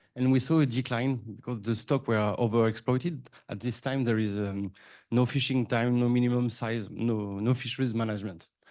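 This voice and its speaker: Fairly quick, fairly even speech from a man at a medium pitch. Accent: French. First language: French. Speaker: hatchery manager. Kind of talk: conference presentation.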